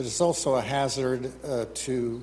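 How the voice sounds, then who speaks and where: This is a man with a fairly high voice. It sounds somewhat breathy. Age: 70s. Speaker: professional engineer. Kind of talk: public hearing testimony. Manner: halting.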